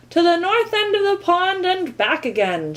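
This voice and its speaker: A woman's put-on character voice, extremely high in pitch, with lively intonation and a moderate pace. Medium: read story. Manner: loud, officious.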